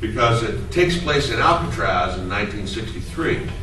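Audible room echo and light background noise surround a man who talks at a fairly slow pace. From Canada. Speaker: voice actor. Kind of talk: convention Q&A panel. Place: meeting room. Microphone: camera far.

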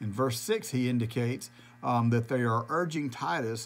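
A man is speaking. Music plays in the background. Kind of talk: sermon-style bible devotional. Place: office. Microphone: phone near.

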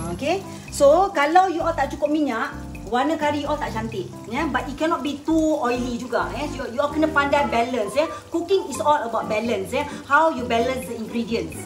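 A high-pitched woman talks at a moderate pace with clear music in the background. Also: ordinary pitch variation. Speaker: home cook host. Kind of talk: cooking tutorial. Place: kitchen. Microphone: phone near.

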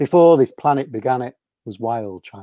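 Against a quiet background, a man speaks at a fairly slow pace with lively intonation, the sound dry with no echo. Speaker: children's poet. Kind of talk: poetry reading. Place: home room. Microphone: video call.

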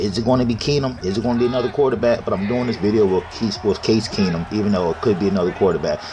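Over noticeable background noise, a man with an American accent talks at a very fast pace with hardly any pauses, using an animated tone, a medium pitch and ordinary pitch variation. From Maryland, US. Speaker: gaming YouTuber giving NFL predictions. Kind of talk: casual sports prediction commentary. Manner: casual, animated.

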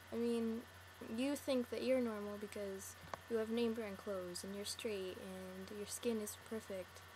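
A woman's fairly slow speech comes with noticeable background noise behind it. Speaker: video blogger. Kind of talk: personal monologue to camera. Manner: earnest, rambling. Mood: sad, earnest, comforting. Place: home room. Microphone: webcam.

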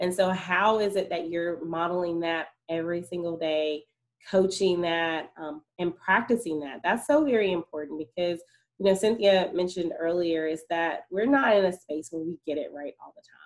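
A woman talks in a plain, everyday voice at a fairly low pitch, a moderate pace and ordinary pitch variation, with big swings in loudness. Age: adult parent. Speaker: school social emotional learning specialist. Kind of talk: online presentation for parents.

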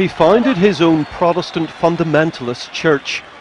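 Amid noticeable background noise, a man with a fairly high pitch talks at a moderate pace with ordinary pitch variation. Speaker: news reporter. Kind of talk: TV news report.

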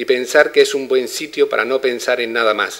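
At a moderate pace, a man talks, with quiet all around. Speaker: poetry reader at festival opening. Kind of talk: speech at inauguration, then reading aloud. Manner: formal. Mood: calm, reflective. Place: home room. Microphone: podium.

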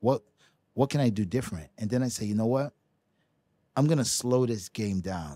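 Recorded with a dry sound and no echo, a man with a New York accent has a dark, mellow tone. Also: quiet background. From New York City, Brooklyn; New York City. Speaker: professional ping pong player; podcast guest. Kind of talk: casual chat. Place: studio. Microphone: studio mic.

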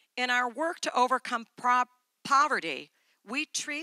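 With a bright, sharp tone, a woman speaks at a fairly slow pace in a dry sound with no echo over a quiet background. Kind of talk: conference speech. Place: stage. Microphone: handheld.

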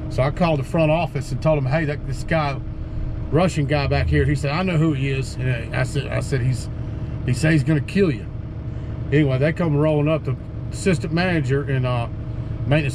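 A man's fairly quick speech with fairly even intonation, set against noticeable background noise. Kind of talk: casual vlog chat. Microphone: phone near.

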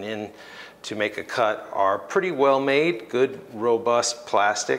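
There is light background noise as a man speaks at a fairly slow pace. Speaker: product reviewer. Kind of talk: tutorial. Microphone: lapel.

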